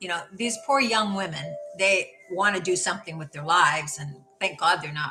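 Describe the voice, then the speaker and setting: Music plays in the background as a woman speaks at a medium pitch. Her intonation is lively and her pace moderate. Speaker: live streamer, life coach. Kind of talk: casual live stream chat. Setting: solo live stream at home. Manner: halting, many fillers and repetitions; slurs words. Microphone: camera's built-in microphone.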